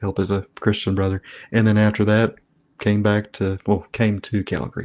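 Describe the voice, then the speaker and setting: Against a quiet background, a man with a Tennessee accent speaks at a moderate pace in a fairly low, monotone, flat voice. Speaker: trauma therapist and addiction counselor. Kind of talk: interview.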